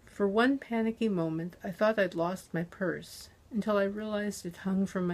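This is an unforced reading voice. It reads in an unforced way.

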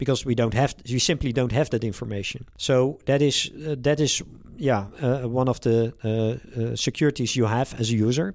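Here a man with a Dutch accent keeps a very even loudness at a moderate pace, with hardly any pauses, in a very clean recording with a silent background. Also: medium pitch for a man, fairly even intonation. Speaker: privacy tech company founder. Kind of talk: interview. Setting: company office. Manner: halting.

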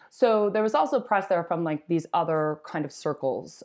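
A woman with an American accent has a plain, everyday voice, fairly low in pitch with ordinary pitch variation, speaking at a fairly quick pace over a quiet background. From Wisconsin, US Midwest. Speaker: cannabis entrepreneur and brand CEO. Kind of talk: interview.

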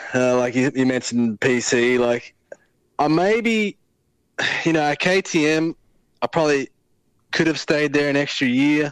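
With an Australian accent and a fairly high pitch, a man speaks at a fairly slow pace with long, frequent pauses, very even loudness, and a dry, close sound with no echo. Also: ordinary pitch variation. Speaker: motocross racer. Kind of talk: casual chat. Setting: phone call.

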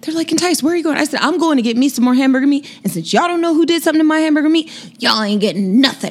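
With an American accent, a woman speaks very fast in a high pitch with lively intonation. Noticeable background noise runs under her voice. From Sacramento, California. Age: 30s. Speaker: legal sex worker guest. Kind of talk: casual chat.

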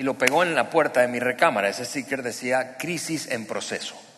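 Audible room echo surrounds a man speaking at medium pitch with ordinary pitch variation. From Venezuela, Barquisimeto. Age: 40s. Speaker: pastor. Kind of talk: sermon testimony. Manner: halting, many repetitions and fillers.

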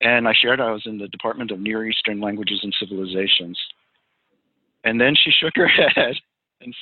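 A man with an American accent speaks at a moderate pace in a medium pitch. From New York, New Jersey and Western Pennsylvania. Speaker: pastor. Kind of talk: interview.

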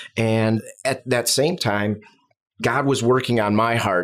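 A man with a Chicago accent speaks at medium pitch with fairly even intonation. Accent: Midwestern US, Chicago-area. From US Midwest, Chicago south suburbs. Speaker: bivocational pastor. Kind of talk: casual interview chat.

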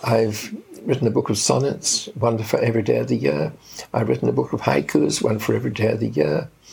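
At a fairly quick pace, a man speaks with very even loudness against noticeable background noise. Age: 80s+. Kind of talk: interview.

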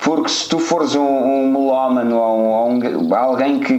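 Someone with a European Portuguese accent speaks at a fairly slow pace, with audible room echo and noticeable background noise. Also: man. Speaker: podcast co-host. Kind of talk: casual chat.

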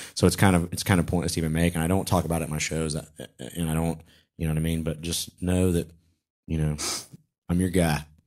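In a very clean recording with a silent background, a man with a Southern US accent and very deep, low pitch talks at a very fast pace in a monotone, flat delivery, broken by long, frequent pauses. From US South, Charlotte, North Carolina. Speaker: stand-up comedian and co-host. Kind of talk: casual chat. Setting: studio.

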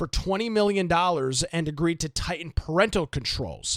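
In a very clean recording with a silent background and a dry, close sound with no echo, a man has an ordinary speaking voice, a fairly high pitch and ordinary pitch variation. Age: 20s. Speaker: podcast host and radio host. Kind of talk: casual chat.

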